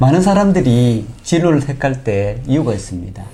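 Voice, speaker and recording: Audible room echo carries a man's voice in a Gyeongsang accent. His intonation is lively. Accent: Gyeongsang dialect (self-described). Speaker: local news interviewer. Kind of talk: political candidate interview.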